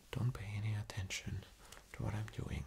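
A man is whispering. His voice stays hushed throughout. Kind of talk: ASMR role-play, soft instructions. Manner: soft, hushed ASMR doctor voice. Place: home room.

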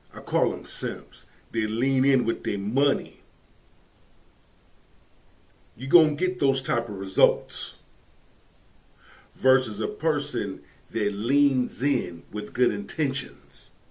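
A man talks at a very slow pace with long, frequent pauses. His voice is somewhat breathy, with lively intonation. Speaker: reaction commentator. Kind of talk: commentary. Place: home room.

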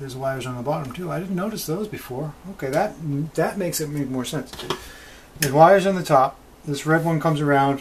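Background noise is noticeable. Over it, the words come very fast. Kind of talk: tutorial. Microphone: camera far.

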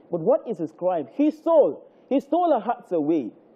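A man with a Nigerian accent speaks at a moderate pace, his voice making very wide pitch swings. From Nigeria (Lagos). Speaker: spoken word poet. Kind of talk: spoken word poem performance, rhythmic devotional verse on the cross and resurrection. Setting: live TV studio. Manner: rhythmic, cadenced delivery with repetition and refrains; fervent, preacher-like building emphasis. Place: studio. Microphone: handheld.

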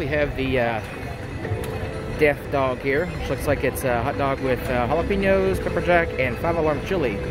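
A man at a moderate pace, dry sound with no echo, clear music playing behind him. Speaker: theme park food vlogger. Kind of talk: casual vlog chat. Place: street. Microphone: phone near.

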